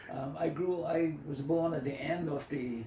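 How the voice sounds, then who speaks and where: Noticeable background noise and audible room echo accompany a voice with ordinary pitch variation. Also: man. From Bahamas, Long Island. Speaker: retired school principal and former politician. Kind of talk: interview. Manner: halting.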